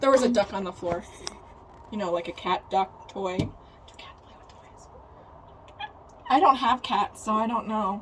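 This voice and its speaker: Over noticeable background noise, a woman with a Central Pennsylvania accent speaks in a fairly high pitch at a moderate pace. She leaves long, frequent pauses, and her loudness swings widely. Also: ordinary pitch variation. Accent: Central Pennsylvania American. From South Central Pennsylvania. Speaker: podcast co-host. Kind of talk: casual chat.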